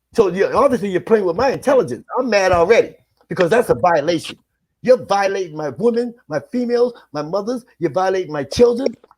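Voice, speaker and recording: Here a man talks at a fairly quick pace with a high pitch. His tone is animated and his intonation lively. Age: 60s. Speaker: spiritual teacher. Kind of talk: heated panel discussion.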